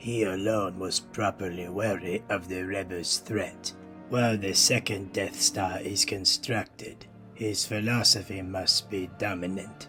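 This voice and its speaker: A man puts on a character voice, fairly low in pitch with fairly even intonation. Clear music plays in the background. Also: fairly slow pace. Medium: audio drama. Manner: cold, condescending.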